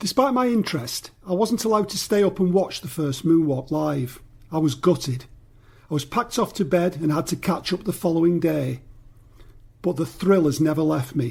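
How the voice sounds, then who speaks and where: The voice has a Mancunian accent. Its intonation is lively. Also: man, high pitch for a man, moderate pace, very clean recording, silent background. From northern England, Greater Manchester. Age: 60s. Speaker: podcast listener contributor. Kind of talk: personal testimony.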